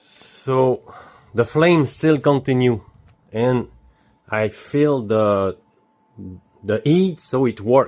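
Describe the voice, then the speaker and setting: A man speaks at a very slow pace in a French Canadian accent. His intonation is lively. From Quebec. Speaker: DIY video maker. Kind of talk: tutorial. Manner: halting.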